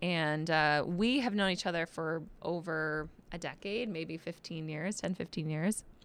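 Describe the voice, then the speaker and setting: In an American accent, a woman with a plain, everyday voice talks at a fairly slow pace and a fairly low pitch, with ordinary pitch variation. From Michigan. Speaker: journalist. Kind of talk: casual chat. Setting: studio.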